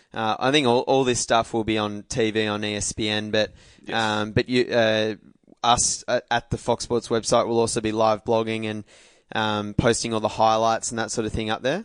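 Against a quiet background, a man with an Australian accent speaks at a moderate pace in a monotone, flat intonation. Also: medium pitch for a man, dry, close sound with no echo. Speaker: podcast host. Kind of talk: casual chat.

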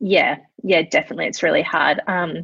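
In a dry, close sound with no echo, a woman speaks at a medium pitch and a fairly quick pace, with an Australian accent and ordinary pitch variation. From Adelaide, Australia. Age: 20s. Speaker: marketing specialist and founder. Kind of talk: casual chat.

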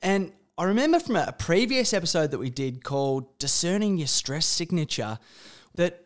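Recorded very cleanly against a silent background, a man with an Australian accent speaks at a moderate pace, his high pitch moving in very wide swings. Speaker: podcast host, interviews his father. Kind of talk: casual conversation, interview.

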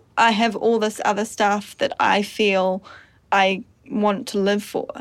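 A woman speaks in a New Zealand accent with a fairly high pitch. The recording is very clean, with a silent background. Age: 20s. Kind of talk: casual chat. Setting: studio.

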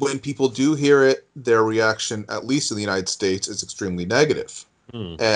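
A man's normal speaking voice at medium pitch with ordinary pitch variation. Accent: American. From US New England. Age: 40s. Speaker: news digest writer. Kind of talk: interview.

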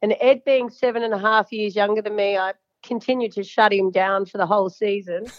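With an Australian accent, a woman talks at a fairly quick pace and medium pitch, her intonation fairly even. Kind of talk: casual interview chat. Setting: phone call. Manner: chatty, talkative.

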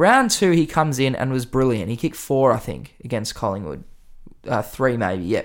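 Delivered at a fairly quick pace with an Australian accent, the speech swings very widely in pitch. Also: man. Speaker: podcast host. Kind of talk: casual sports podcast analysis. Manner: animated, excitable.

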